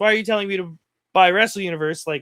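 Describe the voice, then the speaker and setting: The voice is raised and projected, with a bright, sharp tone and a Canadian accent. Its pitch varies in an ordinary way, and the sound is dry and close with no echo. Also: man. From Canada. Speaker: wrestling show host. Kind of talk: casual chat. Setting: in a car.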